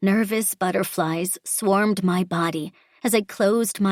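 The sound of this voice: The clip features an unforced reading voice whose pitch varies in an ordinary way.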